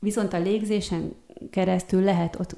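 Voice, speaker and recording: A woman speaks in a dark, mellow tone. Vocal fry colors her voice. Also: very clean recording, silent background. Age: 40s. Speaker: art therapist and kinesiologist, student. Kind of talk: interview.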